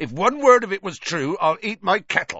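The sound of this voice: A put-on character voice, growling and gruff, with a slightly husky edge, a bright, sharp tone and big pitch swings. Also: man.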